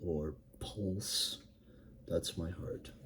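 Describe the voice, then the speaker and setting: The tone is dark and mellow. The voice sounds somewhat breathy. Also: man. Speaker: writer vlogger. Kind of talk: casual writing vlog. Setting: home recording, fan turned off. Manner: halting, many fillers.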